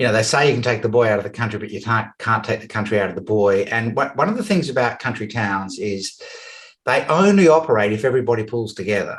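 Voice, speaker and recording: With an Australian accent, a man talks at a very fast pace in a somewhat breathy, medium-pitched voice with ordinary pitch variation. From Western Australia, rural. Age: 60s. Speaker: business coach. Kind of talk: interview.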